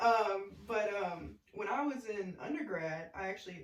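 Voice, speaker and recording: This woman talks with an Arkansas accent. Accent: Southern US, Arkansas. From US South, small-town Arkansas. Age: 30s. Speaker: podcast guest, former college basketball player. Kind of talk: casual chat.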